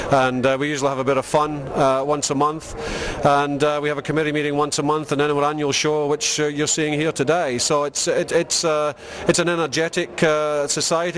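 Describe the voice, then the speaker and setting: With a Scottish accent, a man talks at a fairly quick pace in a fairly high pitch, his intonation flat and monotone over noticeable background noise. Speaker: hobby society member. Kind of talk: casual interview.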